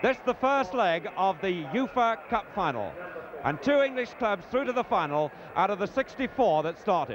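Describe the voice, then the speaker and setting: Against noticeable background noise, a high-pitched man speaks at a moderate pace in a dry sound with no echo. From England. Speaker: sports commentator. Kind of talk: live football match commentary. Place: stadium. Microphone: handheld.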